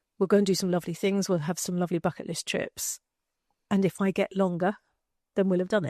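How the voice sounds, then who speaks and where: A woman with an English accent speaks very fast in a dark, mellow, monotone, flat voice, with long, frequent pauses, the sound dry and close with no echo against a quiet background. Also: medium pitch for a woman. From England. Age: 50s. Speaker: retired marketer and cancer awareness advocate. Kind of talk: casual interview chat. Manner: halting, with many repetitions.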